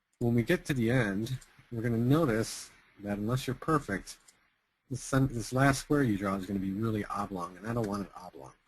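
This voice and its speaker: A normal speaking voice from a man, medium in pitch with ordinary pitch variation, at a moderate pace. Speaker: software tutorial webinar host. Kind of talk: tutorial. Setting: webinar recording.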